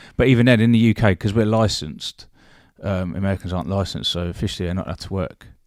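Speaking at a very fast pace, a man with a British accent uses a fairly low pitch and ordinary pitch variation on a very clean recording with a silent background. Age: 40s. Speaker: former bodyguard and security business owner. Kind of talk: casual chat.

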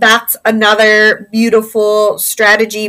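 This woman has a Midwestern American accent and a fairly high pitch. Her tone is bright and sharp, and her pace is very slow. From Indiana, US Midwest. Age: 40s. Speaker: former teacher turned adult content creator. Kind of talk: interview conversation.

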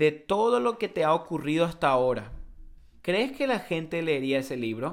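A man with a strong Paraguayan accent, fairly high-pitched, swinging very widely in pitch at a moderate pace. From Paraguay (Encarnación). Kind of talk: casual chat.

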